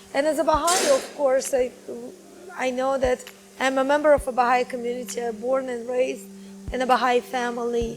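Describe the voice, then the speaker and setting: A woman speaks in a high pitch with fairly even intonation. Noticeable background noise runs behind her. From Tajikistan, Dushanbe. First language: Tajik and Russian. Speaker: journalist and broadcaster. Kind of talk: interview.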